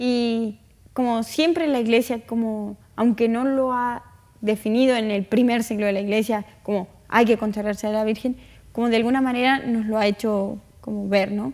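At a moderate pace, a woman with a fairly high pitch speaks in fairly even intonation. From northern Argentina, Tucumán. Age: young. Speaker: interview guest. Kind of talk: interview. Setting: studio. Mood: warm, gentle, earnest. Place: studio. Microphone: lapel.

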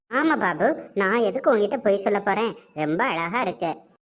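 A woman uses a cartoonish character voice with lively intonation. She keeps a moderate pace. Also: medium pitch for a woman.

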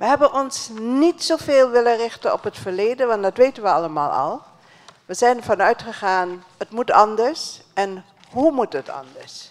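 A woman talks at a fairly slow pace, her pitch swinging very widely. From Suriname. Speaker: education ministry official; speaker. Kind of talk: closing speech at a dialogue event. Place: hall. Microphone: handheld.

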